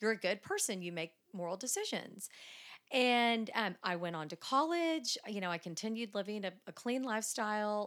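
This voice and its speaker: A woman's plain, everyday voice, fairly high, with lively intonation, a moderate pace and a very clean recording with a silent background. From Dallas, Texas. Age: 40s. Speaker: church member. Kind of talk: casual interview.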